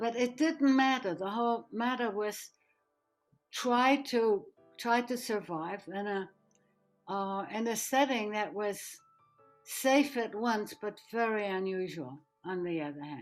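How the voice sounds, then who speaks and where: With music in the background, a woman speaks very slowly in a fairly high pitch, her intonation lively and her pauses long and frequent. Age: 80s+. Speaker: Holocaust escapee and refugee. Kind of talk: interview answer.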